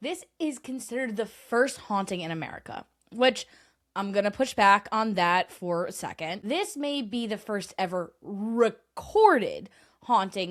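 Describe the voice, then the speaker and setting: On a very clean recording with a silent background, a woman with a normal speaking voice talks at a moderate pace, her fairly high pitch carried by lively intonation. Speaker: podcast host. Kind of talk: paranormal history podcast narration. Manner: conversational.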